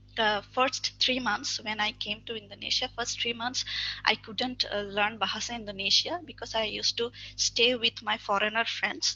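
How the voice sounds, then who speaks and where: Speaking at a moderate pace in a Bangladeshi accent, a woman keeps a fairly high pitch and fairly even intonation. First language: Bengali. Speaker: webinar speaker. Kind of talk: webinar talk. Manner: halting.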